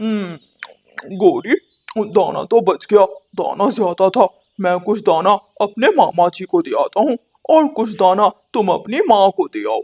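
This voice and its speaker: A man puts on a cartoonish character voice at a high pitch. He speaks at a moderate pace. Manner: boastful.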